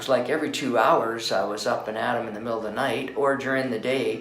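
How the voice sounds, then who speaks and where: A man with a Canadian accent talks at a moderate pace in a medium pitch, his intonation fairly even. Noticeable background noise and audible room echo fill the recording. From Canada (Calgary, Alberta). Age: 60s. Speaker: patient, retired school principal and veteran. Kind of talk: testimonial. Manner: hesitant, many fillers.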